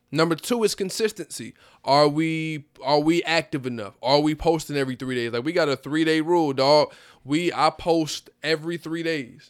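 A man speaks at a moderate pace in a plain, everyday voice. His pitch is fairly high with ordinary pitch variation, and the recording is very clean with a silent background. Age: 20s. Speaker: rapper. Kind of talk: casual chat.

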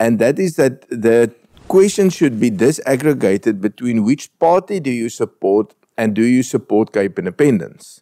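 With a dark, mellow tone at a medium pitch, a man talks at a moderate pace with very wide pitch swings, in a dry, close sound with no echo. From South Africa, northern Transvaal. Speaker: politician. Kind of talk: panel debate. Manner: halting.

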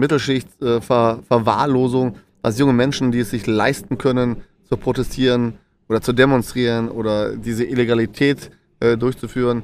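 Man's medium-pitched voice, monotone and flat, at a moderate pace. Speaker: podcast co-host. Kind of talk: casual chat. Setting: live in a stadium and pubs in Essen.

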